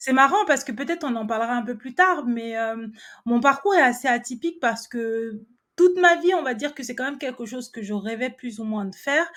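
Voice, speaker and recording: On a very clean recording with a silent background, a woman speaks at a high pitch and a fairly quick pace, her intonation lively and her loudness swinging widely. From France. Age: 30s. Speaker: entrepreneur and personal finance coach. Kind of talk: interview.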